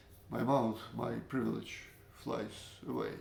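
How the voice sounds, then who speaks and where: A man with a Russian accent, fairly slow, with vocal fry and audible room echo. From Latvia, Russian-speaking family. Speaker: storyteller, former librarian. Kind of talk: personal storytelling. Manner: halting, many fillers.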